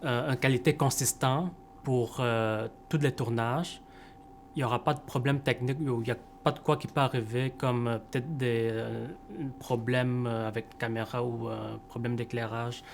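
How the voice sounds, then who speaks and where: With fairly even intonation and a medium pitch, a man talks at a moderate pace. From Montreal, Quebec. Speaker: camera operator. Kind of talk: interview. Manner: hesitant, many fillers.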